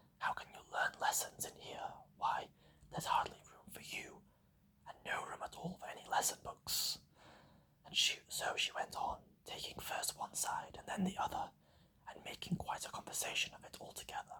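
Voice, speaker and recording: Whispering at a moderate pace, the voice shows big swings in loudness. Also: man. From British. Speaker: ASMR artist. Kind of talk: ASMR book reading. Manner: whispered.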